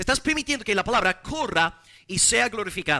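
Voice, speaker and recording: With an English accent, a man talks in a raised, projected voice. His tone is bright and sharp, and his intonation is lively. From English-speaking foreign country. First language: English (speaking Spanish). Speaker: pastor. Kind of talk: sermon.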